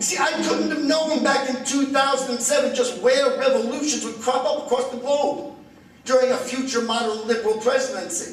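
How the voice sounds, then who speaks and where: Delivered at a fairly quick pace in an American accent, the speech has fairly even intonation, with noticeable background noise and audible room echo. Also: man, extremely high pitch for a man. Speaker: comedian and political speaker. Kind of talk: lecture. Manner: fast.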